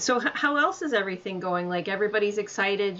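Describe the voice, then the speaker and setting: A woman at medium pitch and a moderate pace, with ordinary pitch variation and a plain, everyday voice. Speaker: podcast host. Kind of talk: casual interview.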